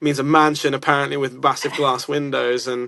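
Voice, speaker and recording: A man speaks with a southern English accent at a fairly high pitch. His tone is bright and sharp. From England. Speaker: music producer and songwriter. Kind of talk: casual chat. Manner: animated.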